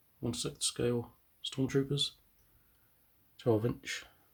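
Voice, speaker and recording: On a very clean recording with a silent background, a somewhat breathy man speaks at a fairly slow pace with fairly even intonation. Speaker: scale model builder. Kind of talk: casual talk to camera.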